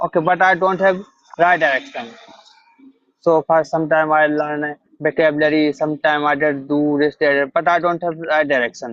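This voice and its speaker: Speaking with an Indian accent, a man keeps a fairly even intonation. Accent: Indian English, Hindi-speaking. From India, Madhya Pradesh. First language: Hindi. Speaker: English learner. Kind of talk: interview. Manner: halting.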